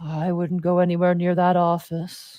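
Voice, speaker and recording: Someone puts on a character voice at middle pitch. The delivery is monotone and flat, at a moderate pace. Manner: warning, ominous.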